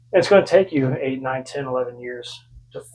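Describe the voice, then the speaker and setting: A man is speaking here. His pitch varies in an ordinary way. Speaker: fitness youtuber. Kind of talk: tutorial. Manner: forceful, like a drill sergeant; casual, conversational.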